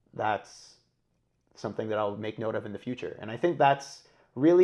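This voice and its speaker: His voice sits at a medium pitch. This male speaker has a dark, mellow tone. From Kuwait. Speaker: guest. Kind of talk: casual chat.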